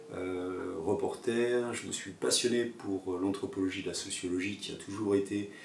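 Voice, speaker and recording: Speaking very slowly with fairly even intonation, a man with a fairly low pitch is heard with audible room echo. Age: 60s. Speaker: yoga teacher and former photojournalist. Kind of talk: personal video monologue. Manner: halting, many hesitations.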